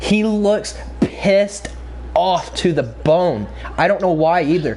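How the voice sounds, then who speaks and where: Noticeable background noise fills the recording. A man talks over it. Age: young. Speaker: gaming streamer. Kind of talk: storytelling during a live stream. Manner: halting.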